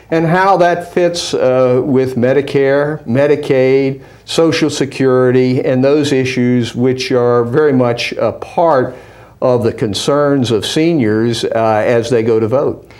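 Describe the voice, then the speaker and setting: Speaking at a very slow pace, a man with a medium pitch and ordinary pitch variation keeps his loudness very even, with audible room echo. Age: 70s. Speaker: former politician and business advisor. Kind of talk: interview. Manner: hesitant with frequent fillers.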